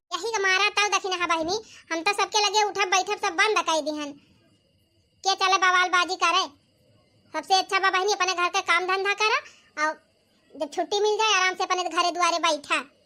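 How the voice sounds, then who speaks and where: Using a cartoonish character voice, a woman speaks at an extremely high pitch with fairly even intonation, a moderate pace and long, frequent pauses. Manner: folksy, talkative.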